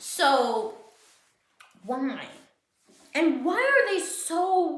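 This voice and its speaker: A woman mumbles at an extremely high pitch with very wide swings in pitch. Audible echo from the room surrounds her voice. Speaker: podcaster. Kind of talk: casual rant. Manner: halting, repetitive; mumbling.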